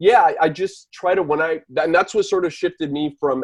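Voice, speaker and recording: A man with a slight Miami accent speaks at a fairly quick pace. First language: Spanish. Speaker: writer. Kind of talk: panel discussion.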